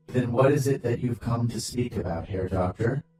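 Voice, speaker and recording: A man speaks in a put-on character voice at a medium pitch. His moderate pace is heard through strong echo. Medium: read story. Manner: formal, stiff.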